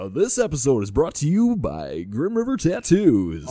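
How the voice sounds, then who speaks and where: A man puts on a character voice with a fairly high pitch. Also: moderate pace. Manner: announcing, sponsor read.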